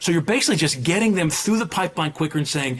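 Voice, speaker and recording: A man's fairly high voice with lively intonation over noticeable background noise. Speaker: president of a college admissions association. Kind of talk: podcast interview. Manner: fast.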